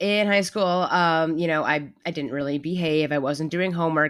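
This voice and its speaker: A woman's very deep, low voice at a fairly quick pace, with ordinary pitch variation, on a very clean recording over a silent background. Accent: New York. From New York City. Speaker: mental health advocate and designer. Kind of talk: interview, personal story. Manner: halting, repeats words.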